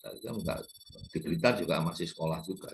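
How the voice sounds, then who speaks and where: This man's pitch is very deep and low. It shows ordinary pitch variation. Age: 70s. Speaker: YouTube lecturer on culture and politics. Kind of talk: informal lecture. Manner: halting, with fillers.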